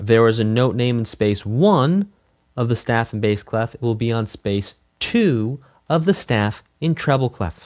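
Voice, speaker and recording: With an unremarkable speaking voice, a man talks at a fairly slow pace in a medium pitch with ordinary pitch variation. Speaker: music teacher. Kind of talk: online lesson.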